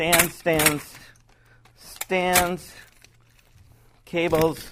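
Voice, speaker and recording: This man's voice sits high in pitch, with a bright, sharp tone. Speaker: video production owner. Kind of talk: tutorial. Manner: casual, hesitant.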